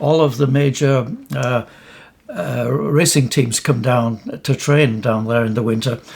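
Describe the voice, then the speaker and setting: Somewhat breathy, a man of medium pitch speaks at a moderate pace with ordinary pitch variation. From northern England, Hull. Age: 80s+. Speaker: retired amateur cyclist. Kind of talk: interview. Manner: halting.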